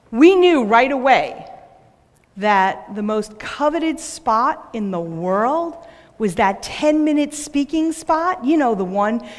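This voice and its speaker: Very wide pitch swings mark this high-pitched woman with a New York accent, who talks at a fairly slow pace amid audible room echo. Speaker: business owner and speaker. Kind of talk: conference talk.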